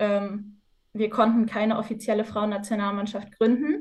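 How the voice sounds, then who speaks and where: A woman talks with a fairly high pitch. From northwestern Germany, Osnabrück. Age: 20s. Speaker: university student and futsal player. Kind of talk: podcast interview.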